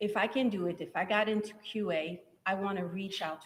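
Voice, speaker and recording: The speaker is a woman with a French accent. Her pitch is medium, with ordinary variation. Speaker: software testing trainer. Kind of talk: live event interview.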